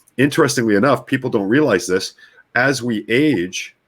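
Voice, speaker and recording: Recorded very cleanly against a silent background, a man with a Canadian accent speaks with lively intonation and vocal fry. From Canadian prairies, Winnipeg. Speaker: brainwave technology practitioner. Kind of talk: interview conversation.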